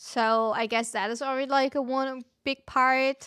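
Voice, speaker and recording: A woman with a German accent speaks in a raised, projected voice, high-pitched with ordinary pitch variation, at a fairly slow pace, in a very clean recording with a silent background and a dry, close sound with no echo. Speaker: gaming streamer. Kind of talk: casual chat.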